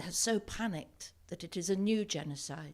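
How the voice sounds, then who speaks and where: In a very clean recording with a silent background, a woman with an unremarkable speaking voice talks at a fairly slow pace with ordinary pitch variation. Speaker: actor. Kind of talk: dramatic reading of diary. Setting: live event. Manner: sombre.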